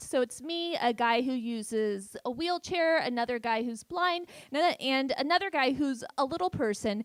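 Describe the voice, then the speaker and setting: In a Californian accent, a woman talks with very wide pitch swings. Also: dry, close sound with no echo. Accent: Californian American. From San Francisco Bay Area, US. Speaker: stand-up comedian. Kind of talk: stand-up. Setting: stage with audience.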